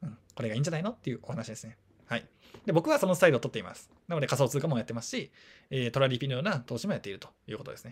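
A man's fairly high, somewhat breathy voice at a very fast pace, with lively intonation and big swings in loudness. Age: 30s. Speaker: personal finance YouTuber. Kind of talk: casual monologue. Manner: casual, with laughter.

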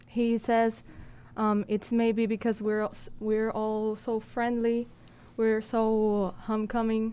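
A woman at a very slow pace with long, frequent pauses, monotone, flat intonation, very even loudness and a dark, mellow tone. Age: young. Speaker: interpreter. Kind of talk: live interpreting. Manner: halting. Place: studio. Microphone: studio mic.

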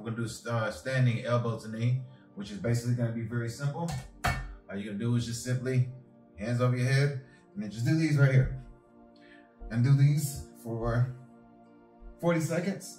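Faint music and audible room echo surround a man speaking at a moderate pace with ordinary pitch variation and long, frequent pauses. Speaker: fitness coach. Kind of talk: workout tutorial. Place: home room. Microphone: camera far.

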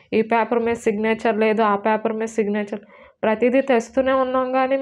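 This woman speaks at a fairly high pitch. Her intonation is fairly even. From Andhra Pradesh, Visakhapatnam; Andhra Pradesh, India. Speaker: stabbing survivor. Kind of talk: interview testimony. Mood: distressed, pleading. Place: home room. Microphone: lapel.

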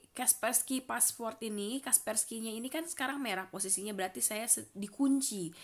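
On a very clean recording with a silent background, a woman uses an ordinary speaking voice, fairly high in pitch with lively intonation. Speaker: vlogger. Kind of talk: casual vlog talk; screen tutorial.

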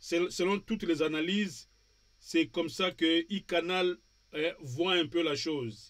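A man's high-pitched voice at a very slow pace, with ordinary pitch variation and long, frequent pauses. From Democratic Republic of the Congo. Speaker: TV talk show host. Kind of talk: political talk show discussion. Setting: TV studio with remote guest. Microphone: webcam.

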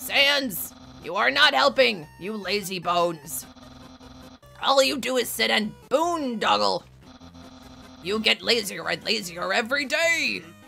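With clear music in the background, a woman uses a put-on character voice at medium pitch, speaking at a fairly slow pace with long, frequent pauses. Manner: pompous, loud, excitable.

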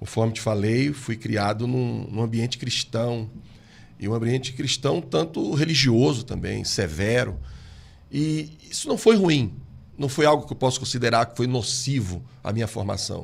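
Speaking fairly slowly with vocal fry, a man uses ordinary pitch variation. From Brazil. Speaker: pastor. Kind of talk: interview. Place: studio. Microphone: studio mic.

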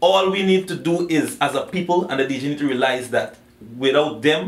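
A man with a Guyanese accent at a fairly quick pace, ordinary pitch variation and audible room echo. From Guyana. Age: young. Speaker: dancehall and soca singer. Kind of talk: interview answer. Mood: earnest, passionate. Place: home room.

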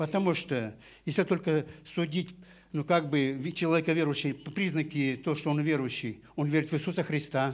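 The intonation is fairly even. A man delivers his words at a moderate pace. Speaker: pastor. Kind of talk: sermon with interpreter. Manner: halting, phrase by phrase for translation. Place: church. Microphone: handheld.

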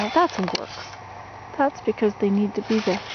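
A woman's voice, dry with no echo, against loud background noise. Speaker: vlogger living in a tipi. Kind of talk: casual vlog chat. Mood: relaxed, chatty. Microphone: phone near.

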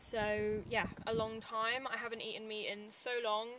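The woman's voice has a dry sound with no echo, and there is light background noise. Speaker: vlogger. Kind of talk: casual vlog chat. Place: car.

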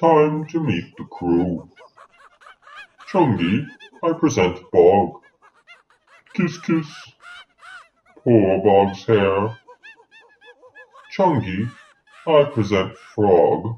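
Putting on a character voice, a woman speaks at a very deep, low pitch and a very slow pace, with long, frequent pauses. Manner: formal, pompous.

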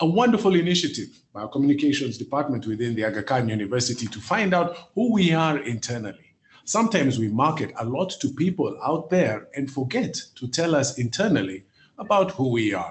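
A man talks at a fairly quick pace with a somewhat breathy voice. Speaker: event host. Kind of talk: presenter introduction. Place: meeting room. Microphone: video call.

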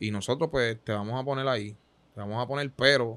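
Using a plain, everyday voice of medium pitch, a man speaks at a moderate pace with fairly even intonation. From Puerto Rico, Santurce; Puerto Rico. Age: 20s. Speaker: basketball player; guest. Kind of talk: interview. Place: studio. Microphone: studio mic.

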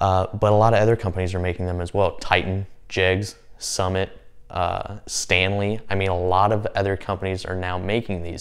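A man at a moderate pace and fairly low pitch, an ordinary speaking voice against a quiet background. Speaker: tool reviewer. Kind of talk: casual vlog chat. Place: garage. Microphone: lapel.

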